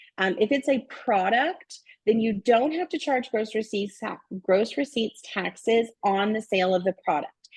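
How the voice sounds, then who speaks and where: Her fairly high pitch and lively intonation come through in a somewhat breathy delivery from this woman. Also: moderate pace, dry, close sound with no echo. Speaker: bookkeeping trainer. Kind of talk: webinar presentation with Q&A. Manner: halting, many fillers.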